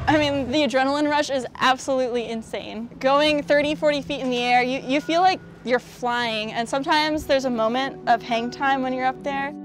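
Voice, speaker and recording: Clear music plays in the background of this dry recording with no echo as a woman with an American accent talks at a fairly quick pace and high pitch, with ordinary pitch variation and hardly any pauses. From United States. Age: 20s. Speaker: monster truck driver. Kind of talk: interview answer. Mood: cheerful, enthusiastic. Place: open country.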